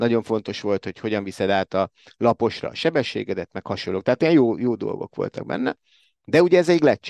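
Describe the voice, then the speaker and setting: This man talks very fast, his medium-pitched voice carrying lively intonation. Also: dry, close sound with no echo. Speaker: sports commentator. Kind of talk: casual panel discussion.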